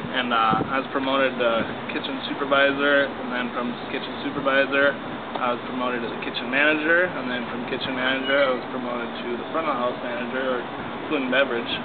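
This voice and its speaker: A man races through his words very fast while loud noise fills the background. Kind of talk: interview answer.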